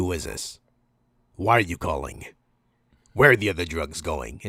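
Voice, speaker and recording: A man puts on a raspy character voice with a very deep, low pitch. He moves at a moderate pace with very wide pitch swings. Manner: disguised, suspicious, gruff.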